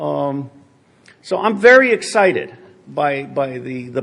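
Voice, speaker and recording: Here is a man with an American accent and a fairly high pitch. His intonation is lively. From grew up partly in Asia, American. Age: 60s. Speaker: former spy, conference speaker. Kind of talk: conference Q&A talk. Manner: casual, many fillers and restarts.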